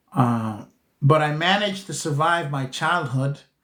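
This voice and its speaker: A man's fairly high voice at a very slow pace. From Costa Rica, then New York City from age eleven. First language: Spanish. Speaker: spiritual teacher, livestream host. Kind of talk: livestream chat answering viewer questions. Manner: halting, many fillers and restarts.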